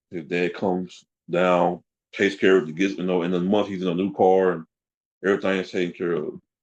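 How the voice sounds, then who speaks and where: A man speaks quietly in a very deep, low pitch. His delivery is fairly quick and monotone, with flat intonation. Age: 40s. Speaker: interview guest sharing life story. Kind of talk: personal testimony in interview. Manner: halting, with many repetitions and fillers.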